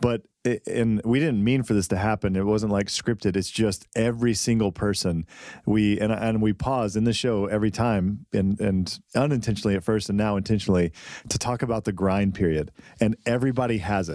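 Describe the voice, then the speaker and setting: A man with a normal speaking voice at a fairly low pitch, a fairly quick pace, very even loudness and fairly even intonation, in a very clean recording with a silent background. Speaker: podcast co-host. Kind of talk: casual chat. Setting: studio.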